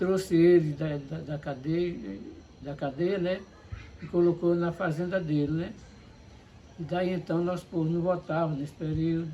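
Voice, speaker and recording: A man's high voice at a fairly slow pace, with fairly even intonation and long, frequent pauses. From Paraíba, northeastern Brazil. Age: 60s. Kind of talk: interview.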